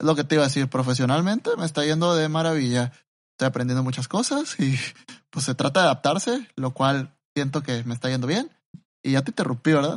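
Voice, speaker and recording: A man speaks with a Mexican accent in a fairly high pitch. His pace is fairly quick and his pitch varies in an ordinary way. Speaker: podcast co-host. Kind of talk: casual chat.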